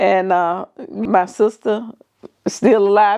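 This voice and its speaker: A woman speaks with a Southern US accent. Her pitch sits in the medium range. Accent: Southern US (Georgia). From US South, southern Georgia. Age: 70s. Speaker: podcast co-host, mother. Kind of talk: casual chat.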